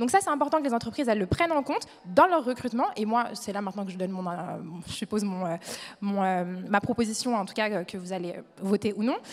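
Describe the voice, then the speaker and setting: Noticeable background noise sits behind a woman's voice. She talks at a very fast pace with lively intonation. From France, Le Mans (Sarthe). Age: 20s. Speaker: young entrepreneur, panelist. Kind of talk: panel discussion. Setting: stage with audience.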